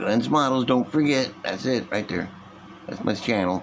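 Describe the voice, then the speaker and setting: Noticeable background noise sits behind this recording. A man with a medium pitch talks with lively intonation. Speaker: model car building youtuber. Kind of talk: casual hobby tutorial. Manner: animated; loud.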